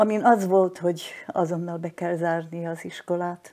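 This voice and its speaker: In a very clean recording with a silent background, a woman speaks in a fairly low pitch with a dark, mellow tone and a monotone, flat intonation. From southern Slovakia, Hungarian minority (Losonc). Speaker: retired teacher, war-era witness. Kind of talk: personal testimony in interview. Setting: at her home.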